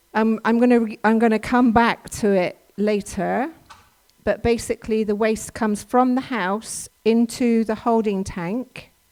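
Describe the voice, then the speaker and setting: Speaking in an English accent, a woman uses a fairly high pitch. Her intonation is monotone and flat, and her pace fairly slow. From England. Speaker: workshop presenter. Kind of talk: talk to a church audience. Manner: halting, many fillers.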